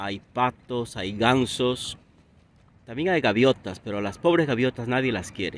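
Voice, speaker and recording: A man with a Peruvian accent speaks at a fairly slow pace in a medium-pitched voice with ordinary pitch variation. The sound is dry with no echo, over light background noise. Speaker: Spanish teacher. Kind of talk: casual talk to camera. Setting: outdoors. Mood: calm, friendly. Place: waterside. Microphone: phone near.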